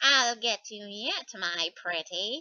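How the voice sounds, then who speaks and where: A female-sounding, put-on character voice sits at a medium pitch. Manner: menacing.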